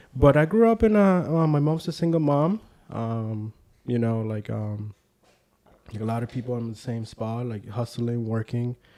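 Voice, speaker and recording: Speaking with a Spanish accent, a man uses ordinary pitch variation in a dark, mellow tone. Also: medium pitch for a man, moderate pace. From Puerto Rico, San Juan (Santurce). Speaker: community leader. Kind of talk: casual interview chat.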